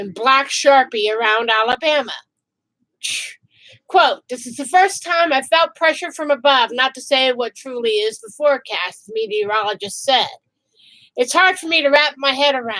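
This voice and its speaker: A woman projects a high, bright, sharp voice with lively intonation at a moderate pace. Her loudness swings widely. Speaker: vlogger. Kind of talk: reading news article aloud.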